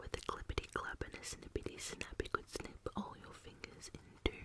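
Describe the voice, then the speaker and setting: The woman whispers, keeping a moderate pace. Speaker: channel host. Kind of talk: soft-spoken reading of a children's book, ASMR style. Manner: soft close-mic ASMR reading voice. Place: home room. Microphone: studio mic.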